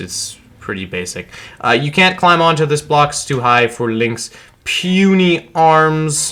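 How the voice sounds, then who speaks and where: A man speaks at a fairly slow pace. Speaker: gaming YouTuber. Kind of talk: gameplay walkthrough commentary. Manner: casual, halting with fillers.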